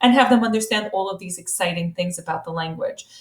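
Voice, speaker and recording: With an American accent, a woman speaks in a somewhat breathy voice with lively intonation. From US, with long stays in Italy. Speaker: high school Italian teacher. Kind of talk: recorded presentation to parents. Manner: fast; animated.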